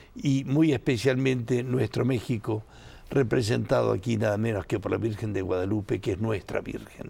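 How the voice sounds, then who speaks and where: A man speaks at medium pitch with an Argentine accent. His tone is dark and mellow, with vocal fry. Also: ordinary pitch variation, moderate pace. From Argentina, Buenos Aires. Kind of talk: interview.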